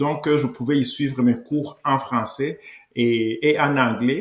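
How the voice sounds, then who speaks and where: Fairly slow speech from a man with a fairly high pitch. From Rwanda. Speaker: political columnist. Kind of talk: interview. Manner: halting.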